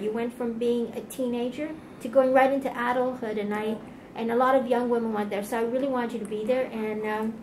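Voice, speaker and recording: Against noticeable background noise, a woman with a high pitch speaks at a fairly quick pace in a monotone, flat way. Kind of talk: interview questions.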